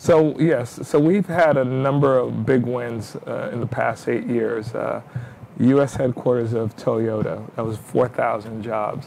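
A very slow voice with an American accent and ordinary pitch variation, music in the background. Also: man, medium pitch for a man. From New York. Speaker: city mayor. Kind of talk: interview. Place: studio.

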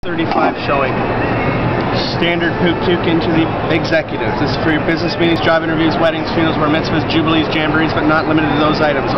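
A man at a very fast pace over loud background noise. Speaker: sales demonstrator. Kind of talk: live sales pitch demo at a trade show. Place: market.

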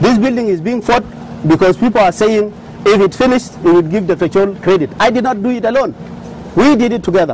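Over noticeable background noise, a man talks very fast at a high pitch with ordinary pitch variation. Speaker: oil company executive. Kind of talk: speech; interview. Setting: studio.

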